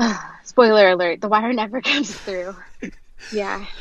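Against a quiet background, a woman with an American accent speaks at a moderate pace and medium pitch. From US South, Knoxville, Tennessee. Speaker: author of a memoir. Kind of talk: interview. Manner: hesitant, with fillers and repetitions.

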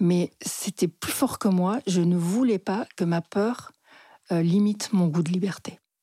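Very slowly and with a medium pitch, a woman speaks in a somewhat breathy, dark, mellow tone with ordinary pitch variation, the sound dry and close with no echo on a very clean recording with a silent background. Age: 60s. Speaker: psychotherapist. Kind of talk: personal storytelling interview.

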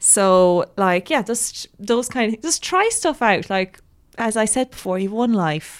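Woman with an unremarkable speaking voice, fairly slow pace, very clean recording and silent background. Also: fairly high pitch for a woman, lively intonation. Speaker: writer and graduate student. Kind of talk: casual interview. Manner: casual, uses 'like' a lot.

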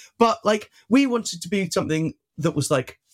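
With a slight Welsh accent, a man speaks at a fairly quick pace in a dry, close sound with no echo. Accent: barely Welsh, little local. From South Wales (Penarth). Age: 20s. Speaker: left-wing activist and union worker. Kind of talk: casual interview.

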